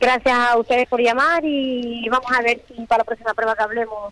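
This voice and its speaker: A woman's fairly high-pitched voice with a bright, sharp tone, fairly even intonation and a moderate pace, in a dry, close sound with no echo. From Fuerteventura, Canary Islands. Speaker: rally driver. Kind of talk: phone interview.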